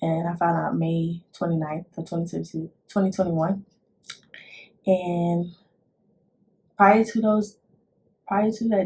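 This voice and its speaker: Quiet and somewhat breathy, a woman with a dark, mellow tone and a fairly low pitch speaks with fairly even intonation and long, frequent pauses. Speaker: vlogger, army recruit. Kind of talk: casual vlog talk. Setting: at home, son sleeping nearby. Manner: quiet, holding back volume; halting, many fillers and restarts.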